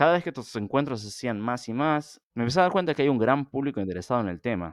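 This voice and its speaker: A man rattles along at a very fast pace with lively intonation. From Argentina. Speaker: archaeologist and podcast host. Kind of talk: podcast introduction monologue.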